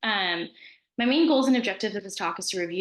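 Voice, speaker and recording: A woman talks at a very fast pace with ordinary pitch variation, and audible room echo is present. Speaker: physician. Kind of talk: lecture. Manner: conversational.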